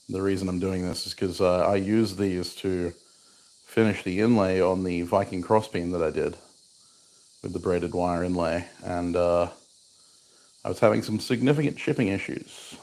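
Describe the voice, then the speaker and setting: A soft-spoken man with an Australian accent talks at a moderate pace in a very deep, low pitch, his intonation fairly even and his speech broken by long, frequent pauses, on a very clean recording with a silent background. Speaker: bladesmith. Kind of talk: casual livestream chat while working.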